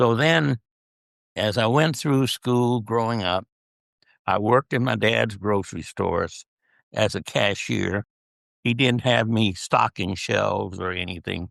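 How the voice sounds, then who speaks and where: A man speaks at a medium pitch with vocal fry and ordinary pitch variation, at a fairly slow pace with long, frequent pauses. The sound is dry and close with no echo over a quiet background. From US Southwest, southern California (El Centro). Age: 80s+. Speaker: retired-age dentist, guest interviewed by his daughter. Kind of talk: interview, personal life story. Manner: conversational, reflective storytelling.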